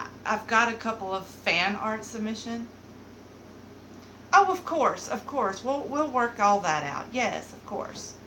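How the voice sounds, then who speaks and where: A woman with a Southern accent and a fairly high pitch speaks at a fairly slow pace with lively intonation and big swings in loudness, amid noticeable background noise and audible room echo. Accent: Southern, mild. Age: 30s. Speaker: beauty vlogger. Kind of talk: casual live-stream chat. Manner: animated.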